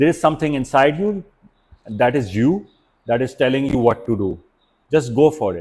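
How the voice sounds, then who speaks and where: A man is talking. His pitch is medium. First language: not English. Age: 40s. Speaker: startup founder. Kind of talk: podcast interview.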